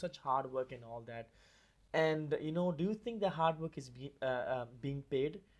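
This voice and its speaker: An unremarkable speaking voice from a man, fairly high in pitch, with lively intonation. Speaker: podcast host. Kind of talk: podcast interview talk.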